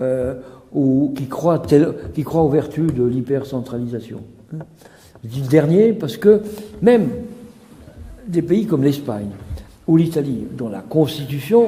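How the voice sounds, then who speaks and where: A man with fairly high pitch speaks at a fairly slow pace with lively intonation. Long, frequent pauses break his speech, and there is noticeable background noise. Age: 70s. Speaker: author. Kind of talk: interview. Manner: hesitant, many fillers.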